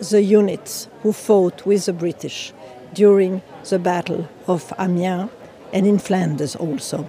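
A woman speaks at a very slow pace with a French accent. There is noticeable background noise behind her. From France. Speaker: war commemoration commissioner. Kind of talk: interview reflection.

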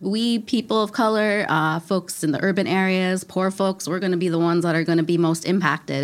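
An unremarkable speaking voice from a woman with an American accent, fairly low in pitch, with ordinary pitch variation and a fairly quick pace. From US Midwest, Minneapolis. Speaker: podcast host and farmer. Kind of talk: interview conversation. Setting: recorded in Minneapolis.

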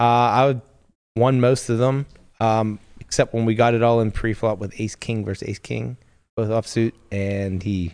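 A normal speaking voice from a man, medium in pitch, at a moderate pace with fairly even intonation, over a quiet background. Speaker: poker player. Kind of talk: casual banter.

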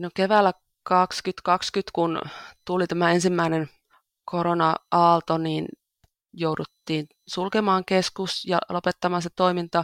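Very slow and monotone, a woman speaks at a fairly low pitch in a very clean recording with a silent background and a dry, close sound with no echo. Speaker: church volunteer. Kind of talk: interview. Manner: halting, with repeated words.

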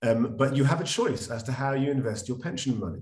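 In a London accent, a man talks at a fairly quick pace, somewhat breathy, with ordinary pitch variation and audible room echo. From London, England. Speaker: financial advisor. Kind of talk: interview. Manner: conversational with fillers.

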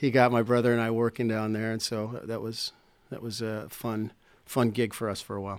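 A man's medium-pitched voice in an American accent, monotone and flat, at a fairly quick pace. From Chicago. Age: 50s. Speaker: musician and radio sidekick. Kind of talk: interview conversation. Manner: halting, many repetitions and fillers.

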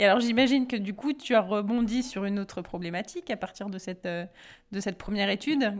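The recording is very clean with a silent background. A woman speaks at a fairly quick pace and medium pitch, with ordinary pitch variation. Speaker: podcast co-host. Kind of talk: casual chat.

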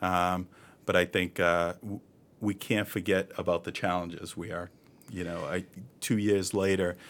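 With an American accent, a man speaks in a very deep, low pitch at a moderate pace, his intonation monotone and flat. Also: very clean recording, silent background. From Boston, Massachusetts (East Boston). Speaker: health center CEO. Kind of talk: interview.

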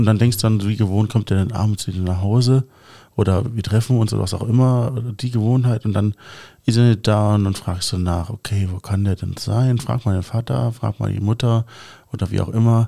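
A man speaks at a fairly quick pace in a fairly low pitch, his tone dark and mellow with fairly even intonation. The recording is very clean, with a silent background. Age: 30s. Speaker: podcast host. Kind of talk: casual podcast interview.

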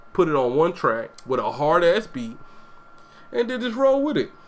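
A man's voice with noticeable background noise. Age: 30s. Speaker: podcast host. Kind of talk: casual chat. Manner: animated.

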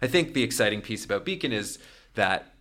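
Speaking at a very fast pace with a Canadian accent, a man has a bright, sharp tone on a very clean recording with a silent background. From Toronto, Canada. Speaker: startup founder. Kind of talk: casual interview.

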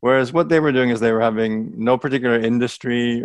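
A man speaks with an American accent in a plain, everyday voice at medium pitch and a fairly quick pace, his intonation fairly even. The sound is dry and close with no echo, over a quiet background. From United States, Greek family. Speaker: startup accelerator director. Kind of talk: interview.

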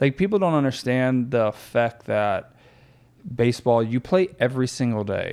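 A man with an American accent speaks at a moderate pace in a medium pitch, using a normal speaking voice. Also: lively intonation. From Florida. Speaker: former pro baseball player, athletic facility owner. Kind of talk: casual chat. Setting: office.

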